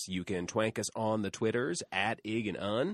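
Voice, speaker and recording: On a very clean recording with a silent background and a dry, close sound with no echo, a man at medium pitch speaks at a moderate pace in an unremarkable speaking voice. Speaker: podcast host. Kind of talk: casual comedic chat. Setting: studio.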